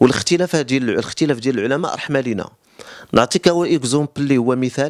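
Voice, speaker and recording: A man at a medium pitch and fairly quick pace, with ordinary pitch variation, against a quiet background. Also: dry sound with no echo. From Morocco. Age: 30s. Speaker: cupping therapist. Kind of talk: interview explanation. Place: home room. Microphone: handheld.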